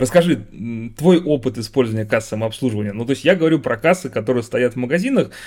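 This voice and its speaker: A man at medium pitch with lively intonation, on a very clean recording with a silent background. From Russia. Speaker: podcast host, former software team lead. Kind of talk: casual chat.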